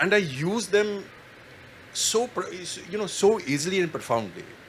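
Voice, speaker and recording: A moderate pace carries the speech while noticeable background noise lingers. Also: man. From Kashmir. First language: Kashmiri. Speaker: writer. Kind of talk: panel discussion. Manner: halting.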